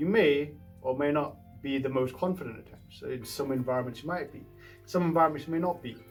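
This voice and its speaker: Music plays in the background as a man talks at a very fast pace, his loudness swinging widely and his pitch varying in an ordinary way. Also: fairly high pitch for a man. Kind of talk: casual talk to camera.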